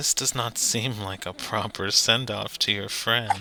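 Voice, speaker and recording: Putting on a character voice, a man speaks resonantly at a moderate pace and medium pitch over clear background noise. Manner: regal, disapproving.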